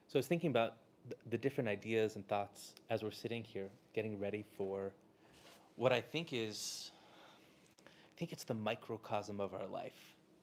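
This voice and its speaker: Soft-spoken and with an American accent, a man talks at a moderate pace in a fairly low pitch, with ordinary pitch variation, big swings in loudness, and long, frequent pauses. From Southern California. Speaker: rabbi and inspirational speaker. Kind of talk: inspirational talk to a live audience. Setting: room with live audience.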